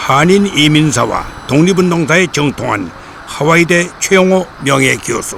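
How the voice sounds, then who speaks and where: A man talks at a fairly slow pace with a fairly high pitch and ordinary pitch variation. Noticeable background noise runs underneath. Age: 80s+. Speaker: documentary presenter. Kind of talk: documentary narration with interview.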